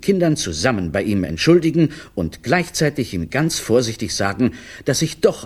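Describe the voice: This is a reading. The delivery is plain.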